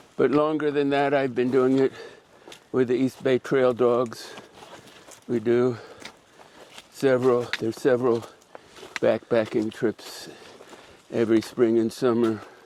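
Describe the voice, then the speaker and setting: Against noticeable background noise, the speech comes in a monotone, flat intonation with very even loudness and long, frequent pauses. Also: man, medium pitch for a man, fairly slow pace. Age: 80s+. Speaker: backpacker. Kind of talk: interview.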